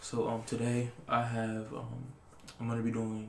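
Recorded with audible room echo and light background noise, a man speaks. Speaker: ASMR creator. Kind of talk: casual vlog chat, reading facts aloud. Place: home room. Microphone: webcam.

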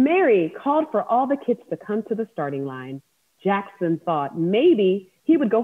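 The background is quiet as someone reads aloud plainly.

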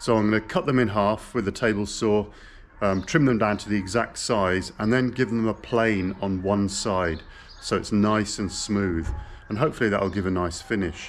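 A man with a plain, everyday voice speaks at a fairly low pitch and a moderate pace. His pitch varies in an ordinary way, with light background noise. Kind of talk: casual vlog chat. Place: open country. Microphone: phone near.

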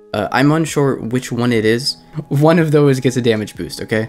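A man speaks at a medium pitch with music in the background. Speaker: game guide youtuber. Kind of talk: game guide commentary. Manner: casual.

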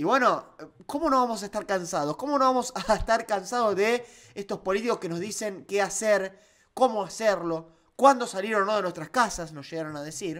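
A man talks in an animated tone at a moderate pace against a quiet background. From Argentina. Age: 20s. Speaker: political YouTuber; political commentator, YouTuber. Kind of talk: opinion commentary. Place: home room. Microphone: studio mic.

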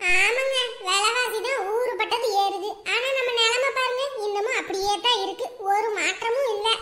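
A woman uses a cartoonish character voice with an extremely high pitch and fairly even intonation. She speaks at a fairly slow pace over light background noise. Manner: chatty, friendly, gossipy.

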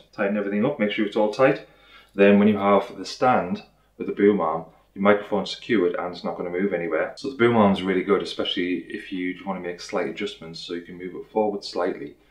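A man talks very fast in a fairly low pitch with ordinary pitch variation. The room echoes audibly, though the background stays quiet. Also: big swings in loudness. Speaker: product reviewer. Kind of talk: unboxing tutorial. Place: home room.

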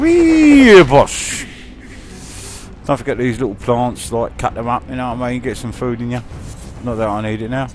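A man in a Cockney accent at a moderate pace, with long, frequent pauses and music in the background. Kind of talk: casual gameplay commentary. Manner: joking, crude.

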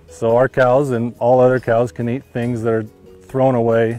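Faint music plays behind a man speaking at a moderate pace. The sound is dry, with no echo. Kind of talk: interview answer. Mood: friendly, smiling. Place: farm machine. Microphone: lapel.

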